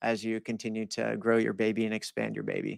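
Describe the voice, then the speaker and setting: In a dry, close recording with no echo, a man speaks at a medium pitch. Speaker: podcast host. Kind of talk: podcast interview. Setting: live podcast. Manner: casual, some stuttering.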